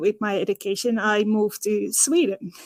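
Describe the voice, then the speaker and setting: A woman with a Dutch accent speaks at a moderate pace in a dry, close recording with no echo. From Netherlands. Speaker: physiotherapist. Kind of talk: podcast interview. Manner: halting, many fillers.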